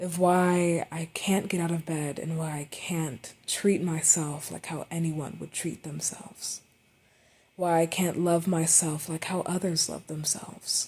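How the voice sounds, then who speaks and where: A dark, mellow, somewhat breathy tone in monotone, flat intonation at a fairly slow pace. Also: woman, fairly low pitch for a woman. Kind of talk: unscripted personal monologue.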